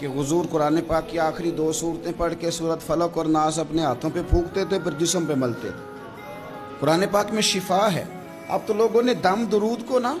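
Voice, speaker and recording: Backed by music, a man speaks at a high pitch. His pitch varies in an ordinary way. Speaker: Islamic preacher. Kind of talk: religious sermon in Urdu. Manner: emotional, passionate, storytelling.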